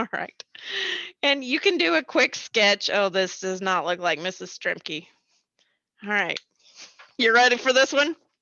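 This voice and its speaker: A loud woman talks fairly slowly at a medium pitch, leaving long, frequent pauses. Her pitch swings very widely. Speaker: elementary school teacher. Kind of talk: online class lesson. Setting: recorded remote lesson on computer. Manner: animated.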